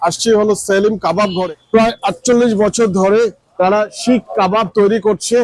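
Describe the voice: High in pitch, this man's voice has fairly even intonation. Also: fairly quick pace.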